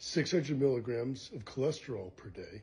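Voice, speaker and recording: A somewhat breathy man. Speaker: nutrition educator. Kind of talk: explainer talk to camera. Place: kitchen. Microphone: phone near.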